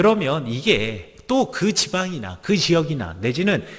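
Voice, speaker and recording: Very wide pitch swings mark a man's speech in a slight Gangwon accent. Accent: faint Yeongdong (Gangwon) intonation. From Gangwon province, Korea (Gangneung, Chuncheon). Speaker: pastor. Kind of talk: sermon.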